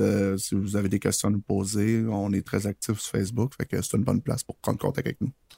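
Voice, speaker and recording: In a Quebec accent, a man speaks at a fairly low pitch with a dry, close sound and no echo. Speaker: podcast co-host, freelance web programmer. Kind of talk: casual chat.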